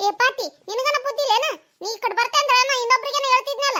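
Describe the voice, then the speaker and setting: A squeaky, cartoonish character voice rattles along at a very fast pace with fairly even intonation. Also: woman, extremely high pitch for a woman. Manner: sharp, combative.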